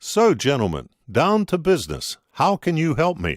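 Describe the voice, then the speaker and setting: In a put-on character voice, a man talks at a moderate pace with a fairly high pitch and very wide pitch swings. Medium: read story.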